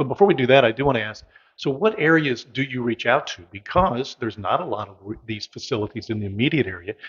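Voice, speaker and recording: A man with an American accent talks at a very fast pace, somewhat breathy. The background is quiet. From US Midwest. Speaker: local community show host. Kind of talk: casual interview. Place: meeting room. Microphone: handheld.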